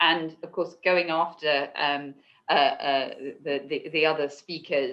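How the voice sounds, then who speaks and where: With a British accent, a woman speaks at a moderate pace in a very deep, low pitch and a monotone, flat intonation. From UK. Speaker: law firm knowledge executive. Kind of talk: panel discussion. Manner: halting, many repetitions and fillers.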